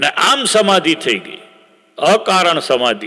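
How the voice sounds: A man with a fairly high pitch, big pitch swings and a bright, sharp tone, at a slow pace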